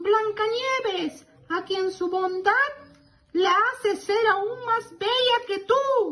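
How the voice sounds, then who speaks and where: A put-on character voice sits at an extremely high pitch. It speaks at a very slow pace. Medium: read story.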